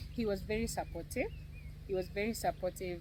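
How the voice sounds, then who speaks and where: Woman at a moderate pace, with audible room echo. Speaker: cancer survivor and content creator. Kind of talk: personal testimony in an interview.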